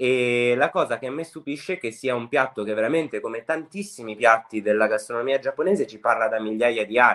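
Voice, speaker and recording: A man with a plain, everyday voice speaks fairly quickly at medium pitch, with ordinary pitch variation and big swings in loudness. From Liguria, Italy (Sanremo). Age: 20s. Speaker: home cook and food content creator. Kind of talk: casual interview chat.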